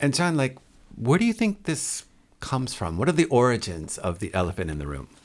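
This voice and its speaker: At a fairly quick pace, a man of medium pitch speaks with vocal fry and very wide pitch swings in a very clean recording with a silent background. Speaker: podcast host and teacher. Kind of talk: casual interview.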